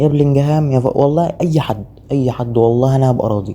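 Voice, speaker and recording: In an Egyptian accent, a man with a dark, mellow tone and fairly high pitch speaks at a moderate pace. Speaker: gaming YouTuber. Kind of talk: gameplay commentary. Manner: holding voice down.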